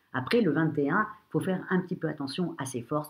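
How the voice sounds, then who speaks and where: With lively intonation and a somewhat breathy voice, a woman talks at a fairly quick pace. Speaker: astrologer. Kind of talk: horoscope reading. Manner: hesitant, many fillers.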